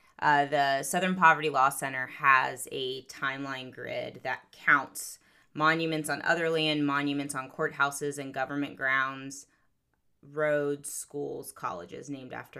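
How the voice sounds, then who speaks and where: A woman with an American accent speaks at a very deep, low pitch and a fairly slow pace, her intonation fairly even. Her tone is bright and sharp, in a very clean recording with a silent background. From US South, Florida Panhandle. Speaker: professor. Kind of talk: casual chat.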